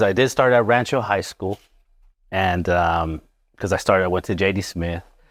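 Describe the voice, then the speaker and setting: Against a silent background in a very clean recording, a man with a Spanish accent speaks at a moderate pace with ordinary pitch variation. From Las Vegas, Nevada, Mexican-American family. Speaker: chiropractor. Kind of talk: interview. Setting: chiropractic office, live.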